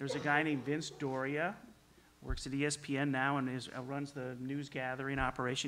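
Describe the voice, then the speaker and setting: Fairly quick and bright, sharp in tone, a man's fairly high voice keeps a fairly even intonation. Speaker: sports television executive. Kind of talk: panel discussion. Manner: soft-spoken; halting.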